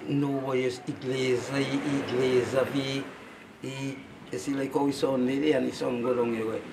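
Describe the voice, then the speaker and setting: A man's medium-pitched, monotone, flat delivery at a fairly slow pace, with noticeable background noise. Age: 70s. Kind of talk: interview answer.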